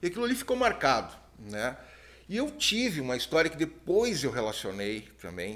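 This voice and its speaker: His tone is bright and sharp. The man's pitch swings very widely. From southern Brazil (Rio Grande do Sul). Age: 50s. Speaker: TV producer and ufologist. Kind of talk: podcast interview.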